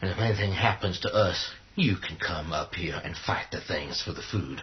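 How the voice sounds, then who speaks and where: A man puts on a character voice, very deep and low in pitch. He speaks at a moderate pace over clear background noise. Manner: aggressive, profane.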